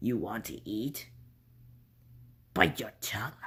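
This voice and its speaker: A man speaks in a put-on character voice. His pace is fairly slow. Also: medium pitch for a man. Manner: menacing.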